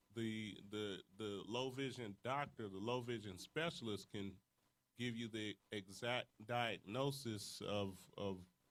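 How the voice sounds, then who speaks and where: This man talks at a fairly slow pace. His pitch is fairly low. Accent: American. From California. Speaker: panelist with low vision. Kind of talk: panel talk to audience. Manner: animated.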